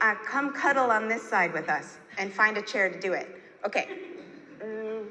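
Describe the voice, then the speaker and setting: Amid noticeable background noise and audible room echo, a woman with a fairly high pitch speaks in an animated tone at a moderate pace, using ordinary pitch variation and long, frequent pauses. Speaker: glass artist and historian giving a talk. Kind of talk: conference talk. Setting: stage with audience. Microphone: poor audio in places.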